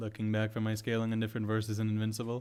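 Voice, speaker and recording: A man's fairly low-pitched voice, with music in the background. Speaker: youtuber reading live chat. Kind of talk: livestream chat. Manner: quiet.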